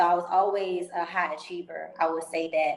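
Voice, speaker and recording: A woman speaks in an unremarkable speaking voice at medium pitch. Her pace is moderate and her intonation fairly even. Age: 20s. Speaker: entrepreneur. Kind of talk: interview.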